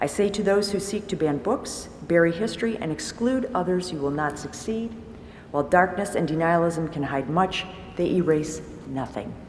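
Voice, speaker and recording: Over noticeable background noise and audible room echo, a woman with a fairly low pitch speaks at a moderate pace with lively intonation. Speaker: public commenter at school board meeting. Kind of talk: prepared public comment.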